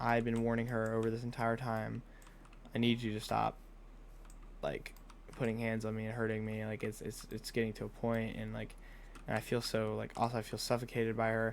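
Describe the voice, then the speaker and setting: A man speaks at a moderate pace in a monotone, flat intonation, with long, frequent pauses. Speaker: gaming channel creator. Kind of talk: casual vlog chat while gaming. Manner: halting, repetitive false starts.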